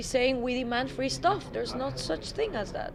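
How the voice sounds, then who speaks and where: A high-pitched woman's voice with a Spanish accent and audible room echo. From Guatemala. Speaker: political activist spokesperson. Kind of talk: interview.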